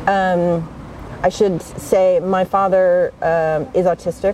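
A woman speaks with an American accent in a monotone, flat intonation. Noticeable background noise is present. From United States. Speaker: author and facilitator. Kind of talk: interview. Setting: outdoors.

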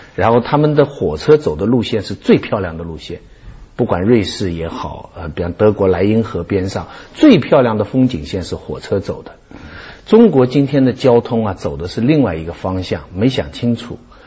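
With noticeable background noise behind him, a man speaks at a moderate pace in a fairly low pitch, his intonation lively and his loudness swinging widely. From Shanghai. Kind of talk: talk show discussion.

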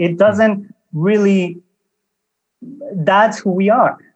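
A man speaks at a high pitch. Music plays in the background. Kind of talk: casual interview chat.

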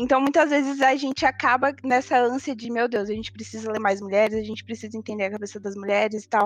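Her pitch fairly high, a woman talks at a fairly quick pace with fairly even intonation. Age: 20s. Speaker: university student. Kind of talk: casual discussion panel.

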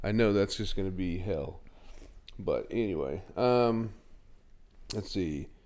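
A man's fairly low voice at a very slow pace, broken by long, frequent pauses, with ordinary pitch variation and audible room echo. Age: 40s. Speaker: podcast host. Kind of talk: casual chat.

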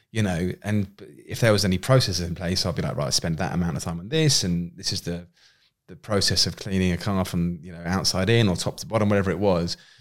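With a southern English accent, a man speaks very fast in a very deep, low voice. His loudness swings a lot, and the recording is very clean with a silent background. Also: ordinary pitch variation. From southern England, Winchester, Hampshire. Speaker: entrepreneur. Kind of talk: casual interview chat. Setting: studio.

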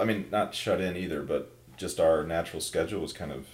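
A man talks fairly quickly with an American accent and a very deep, low pitch. Audible room echo surrounds his voice. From Minnesota. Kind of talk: casual chat.

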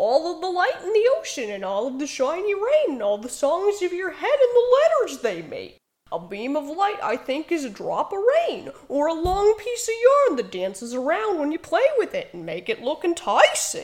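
At an extremely high pitch, a put-on character voice keeps a moderate pace. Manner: whimsical, dreamy.

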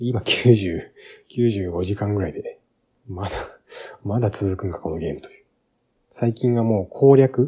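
A man's fairly low, dark, mellow voice is somewhat breathy, moving at a moderate pace with ordinary pitch variation. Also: quiet background. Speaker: game podcast host. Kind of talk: casual solo talk.

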